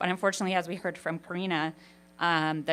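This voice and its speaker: Music plays in the background as a woman speaks at a very fast pace with fairly even intonation. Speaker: university researcher. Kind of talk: conference presentation. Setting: stage with audience. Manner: loud.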